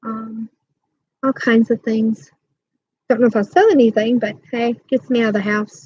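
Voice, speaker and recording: Long, frequent pauses in a somewhat breathy voice, with dry, close sound and no echo. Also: woman, fairly high pitch for a woman, fairly even intonation, moderate pace. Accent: American. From New York State (Rochester). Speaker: crochet YouTuber. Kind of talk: casual livestream chat.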